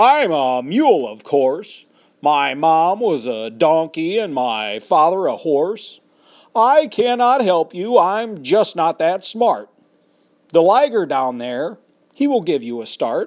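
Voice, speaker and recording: Using a put-on character voice, a man speaks fairly slowly in a high pitch with very wide pitch swings. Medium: read story. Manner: cross.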